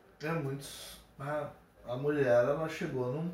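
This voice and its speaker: With audible room echo, a man speaks at a very slow pace and a fairly high pitch. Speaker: medical student, guest. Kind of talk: casual chat.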